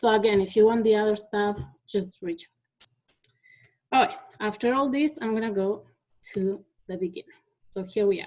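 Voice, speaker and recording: With long, frequent pauses, a woman talks in a Spanish accent at a fairly high pitch. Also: ordinary pitch variation, moderate pace, big swings in loudness. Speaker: teacher. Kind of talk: conference presentation. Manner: halting, with many fillers.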